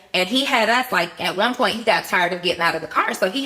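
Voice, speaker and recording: Amid noticeable background noise, a woman talks at a very fast pace. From Atlanta, Georgia (born New Orleans). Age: 40s. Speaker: entrepreneur. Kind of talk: podcast interview, personal testimony. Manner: animated.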